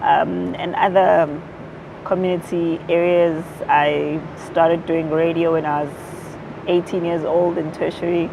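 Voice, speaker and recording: A fairly low-pitched woman's monotone, flat delivery, fairly slow with long, frequent pauses, plus audible room echo and noticeable background noise. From South Africa, Durban (KwaZulu-Natal). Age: young. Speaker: activist and former radio presenter. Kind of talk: interview.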